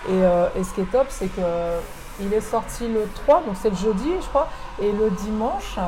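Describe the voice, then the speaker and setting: Through audible room echo and noticeable background noise, a woman speaks at a very slow pace. Her fairly high voice has lively intonation. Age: 40s. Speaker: author and beauty coach. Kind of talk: interview.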